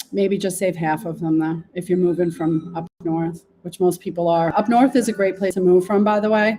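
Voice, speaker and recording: A woman with a New York accent, medium pitch and a dark, mellow tone, at a moderate pace with fairly even intonation and hardly any pauses. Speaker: local real estate podcast host. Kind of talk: real estate market walkthrough. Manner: casual, chatty.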